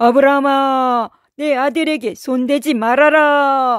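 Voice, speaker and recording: In a high, put-on character voice, the speaker goes at a fairly slow pace. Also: very clean recording, silent background. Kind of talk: children's bible story voice acting. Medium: read story. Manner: solemn, authoritative.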